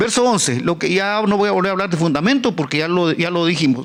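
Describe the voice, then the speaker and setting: At a moderate pace, a man is speaking. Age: 70s. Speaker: pastor. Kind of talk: sermon. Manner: halting, many repetitions.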